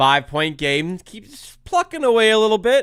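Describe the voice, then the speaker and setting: A man speaks at a moderate pace in a high voice with an animated tone. His pitch swings very widely. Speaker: sports YouTuber hosting a live watch-along. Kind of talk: live game reaction commentary.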